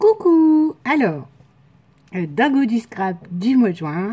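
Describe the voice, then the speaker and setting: A woman speaks in a somewhat breathy voice. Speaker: scrapbooking crafter. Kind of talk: casual craft tutorial talk to camera. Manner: casual, hesitant.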